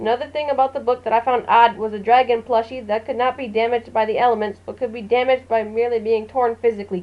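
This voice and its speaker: A woman talks very fast and quietly at a high pitch. Her intonation stays fairly even. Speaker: author. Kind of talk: book review. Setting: low-quality home microphone.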